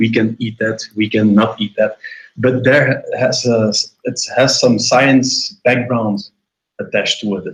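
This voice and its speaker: Somewhat breathy and with a French accent, a man speaks at a medium pitch, a fairly slow pace and fairly even intonation. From Senegal. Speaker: caller. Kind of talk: heated debate. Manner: halting, many fillers.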